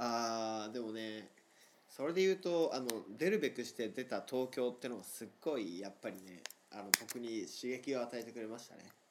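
The intonation is lively, and the loudness swings widely. The pace is moderate. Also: man, medium pitch for a man. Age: 20s. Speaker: podcast co-host. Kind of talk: casual chat. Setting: remote recording.

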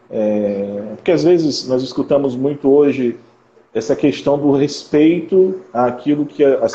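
A man with an unremarkable speaking voice, medium pitch and ordinary pitch variation. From interior of Rio de Janeiro state, Brazil. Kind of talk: live-stream interview.

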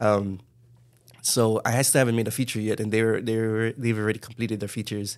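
On a very clean recording with a silent background, a man with a Hawaiian accent talks very fast in a monotone, flat intonation. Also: medium pitch for a man. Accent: Hawaii local English. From Hawaii, Kalihi (Honolulu). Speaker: filmmaker. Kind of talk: casual chat.

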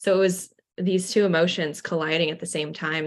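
A woman with a very deep, low pitch speaks in a flat monotone, her voice showing vocal fry. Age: 20s. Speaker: marketing agency owner. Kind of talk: interview.

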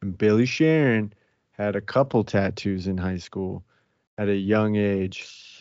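A man's fairly low, a normal speaking voice, with ordinary pitch variation and a fairly slow pace. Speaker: podcast host. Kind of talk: casual banter. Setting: home recording. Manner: joking, profane.

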